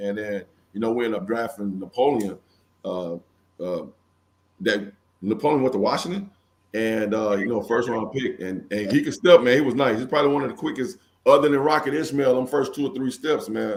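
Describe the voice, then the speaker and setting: At a fairly quick pace, a man with an American accent talks in an ordinary speaking voice, medium in pitch, with lively intonation. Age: 50s. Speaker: former football player. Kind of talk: interview.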